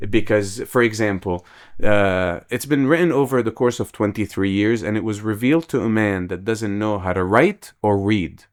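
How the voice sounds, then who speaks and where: In a very clean recording with a silent background, a man with an Arabic accent talks at a fairly low pitch. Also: ordinary pitch variation, moderate pace. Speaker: podcast host. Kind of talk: casual chat.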